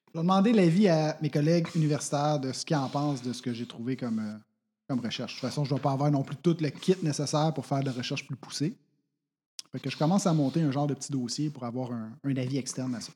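On a very clean recording with a silent background, a man with a Quebec accent talks at a very fast pace in a dark, mellow tone, his pitch fairly high with ordinary variation. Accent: Québécois French. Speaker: tabletop role-play player. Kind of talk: tabletop role-play, in character.

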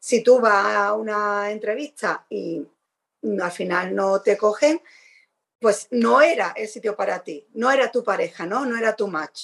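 Her voice is a plain one: a woman with an unremarkable speaking voice. She speaks fairly slowly at a fairly high pitch with ordinary pitch variation. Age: 40s. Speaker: podcast co-host. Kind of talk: casual chat.

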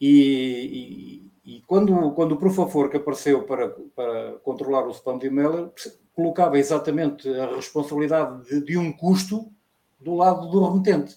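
A man talks at a moderate pace in a normal speaking voice. His loudness swings widely. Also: fairly high pitch for a man, ordinary pitch variation. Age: 60s. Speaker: retired navy veteran. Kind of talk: casual chat.

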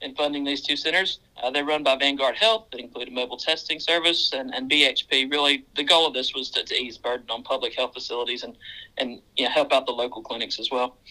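Very fast speech with a Southern US accent. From Mississippi, US South. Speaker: mine general manager. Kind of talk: casual interview chat.

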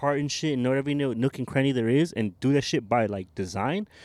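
This very clean recording with a silent background has the speaker talking at a very fast pace with ordinary pitch variation. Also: man, dry, close sound with no echo. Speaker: co-host. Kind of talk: casual chat. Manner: joking, playful.

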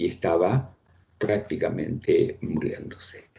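The man's voice has a somewhat breathy quality. He talks very slowly. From Ukraine, raised in Buenos Aires from age 7. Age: 80s+. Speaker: writer and economist. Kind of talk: interview. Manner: halting, repeats words.

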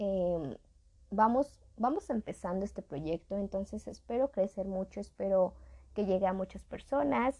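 A woman's fairly slow, lively speech in a Mexican accent, medium-pitched with a dark, mellow tone. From Mexico. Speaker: podcast host. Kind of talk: casual educational monologue. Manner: chatty, informal.

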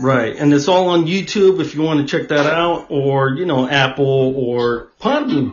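Music plays in the background as a man with a fairly high pitch talks in a lively intonation. He barely pauses at all. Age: 40s. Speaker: podcast host. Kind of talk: casual chat.

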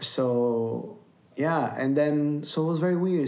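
Lively in intonation and fairly high in pitch, a man talks with audible room echo. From Brazil, near São Paulo. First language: Portuguese. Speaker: musician. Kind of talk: casual chat. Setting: at home. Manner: halting.

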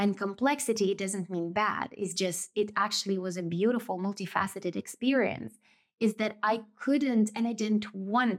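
The speaker has a Russian accent and fairly even intonation. The recording is very clean, with a silent background. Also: woman. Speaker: podcast host. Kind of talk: solo reflective monologue. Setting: indoors, rural village with background noise.

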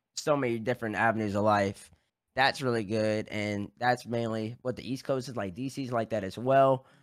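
A man with an American accent and a normal speaking voice talks at a moderate pace and medium pitch with fairly even intonation, in a very clean recording with a silent background. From US South, Baton Rouge, Louisiana. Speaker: esports personality. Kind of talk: casual chat.

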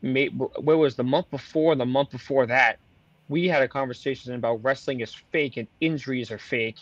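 A man with a plain, everyday voice speaks at a moderate pace and a medium pitch. The sound is dry and close with no echo, and his pitch varies in an ordinary way. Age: 20s. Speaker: wrestling podcast host. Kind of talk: casual chat.

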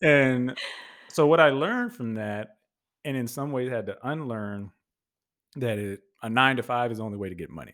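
In a very clean recording with a silent background, a man of medium pitch speaks at a moderate pace with ordinary pitch variation, big swings in loudness, and long, frequent pauses. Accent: American. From Texas, Houston area. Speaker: podcaster and voice actor. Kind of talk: casual interview. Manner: animated.

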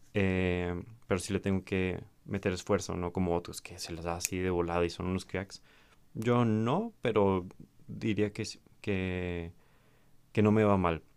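A man's very deep, low voice in a Mexican accent, fairly slow with long, frequent pauses and fairly even intonation. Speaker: podcaster. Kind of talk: solo monologue reflection. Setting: home recording to camera. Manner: hesitant with repetitions.

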